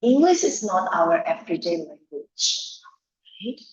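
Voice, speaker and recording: A woman with a Javanese accent speaks in a fairly high, somewhat breathy voice. Her pitch swings very widely, and audible room echo surrounds her. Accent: Indonesian (Javanese) English. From Indonesia, Java. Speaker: education lecturer. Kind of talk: lecture. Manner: animated.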